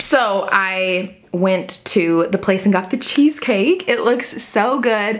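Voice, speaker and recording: A woman talks in an animated tone with ordinary pitch variation and very even loudness. She hardly pauses, and background noise is noticeable. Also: medium pitch for a woman. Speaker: lifestyle vlogger. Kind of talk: casual vlog chat. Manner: fast.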